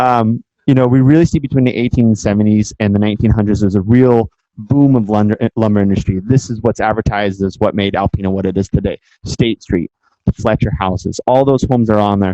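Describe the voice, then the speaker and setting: At a very fast pace, the speaker uses an American accent and ordinary pitch variation, with a dark, mellow tone and a dry, close sound with no echo. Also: man, fairly low pitch for a man. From San Francisco Bay Area, California. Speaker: guest lecturer. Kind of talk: lecture.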